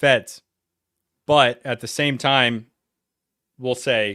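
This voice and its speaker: At a very slow pace, a man speaks in a medium pitch with a bright, sharp tone and monotone, flat intonation. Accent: New England. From Connecticut and North Carolina. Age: 40s. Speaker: reaction streamer. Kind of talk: reaction livestream commentary. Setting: livestream.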